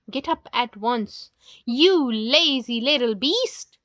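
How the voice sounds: A woman puts on a character voice, shouting at a high pitch. Her intonation is lively and her pace very slow.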